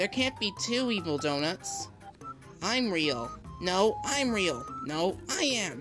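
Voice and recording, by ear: Cartoonish character voice at a middle pitch and fairly slow pace, with clear music in the background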